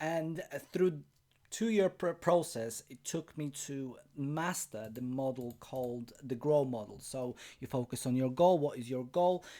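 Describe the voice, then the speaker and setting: With a Polish accent, a man speaks fairly slowly in a fairly high, dark, mellow voice, showing ordinary pitch variation and big swings in loudness. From Poland. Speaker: life coach. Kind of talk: webinar presentation. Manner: halting, with self-corrections.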